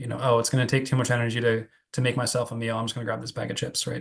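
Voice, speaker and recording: With an American accent, a man speaks at a medium pitch in a somewhat breathy voice. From New Jersey, US. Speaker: psychiatry researcher. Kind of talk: Q&A after a lecture. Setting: Zoom video call. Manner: fast; halting, many fillers and repeats.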